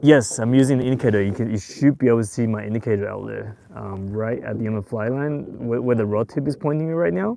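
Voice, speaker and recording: Speaking very fast with hardly any pauses, this man has a medium pitch, ordinary pitch variation and a non-native accent. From Taiwan and Australia. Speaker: fishing youtuber. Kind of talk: live stream tutorial. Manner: casual, hesitant with fillers.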